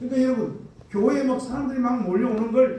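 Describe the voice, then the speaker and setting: Over noticeable background noise and audible room echo, a man speaks in an animated tone at an extremely high pitch with ordinary pitch variation. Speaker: pastor. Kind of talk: sermon.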